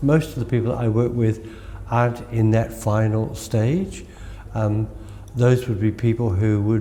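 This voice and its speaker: The speaker is a man with an Australian accent. He talks at a fairly slow pace. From Australia, country Victoria. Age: 80s. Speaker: Reiki master. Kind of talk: interview.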